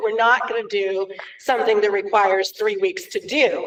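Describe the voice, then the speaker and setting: A loud woman's voice at a moderate pace, with lively intonation. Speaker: elementary STEM teacher. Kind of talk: public meeting presentation. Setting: school board meeting.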